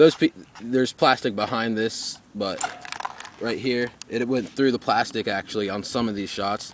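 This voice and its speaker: With noticeable background noise behind him, a man talks in a medium pitch with ordinary pitch variation. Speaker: airsoft reviewer. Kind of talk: product review. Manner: fast; halting, many fillers and restarts.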